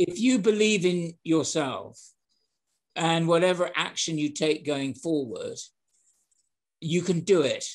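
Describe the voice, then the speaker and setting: Speaking in a British accent with ordinary pitch variation, the voice moves at a very slow pace with long, frequent pauses. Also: man, high pitch for a man. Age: 70s. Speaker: sales and hospitality trainer. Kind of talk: interview. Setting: podcast.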